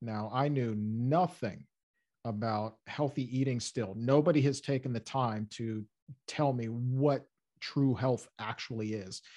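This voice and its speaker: At a fairly slow pace, the voice has a dark, mellow tone and ordinary pitch variation. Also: man, medium pitch for a man. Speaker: radio host and podcaster. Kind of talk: casual interview chat.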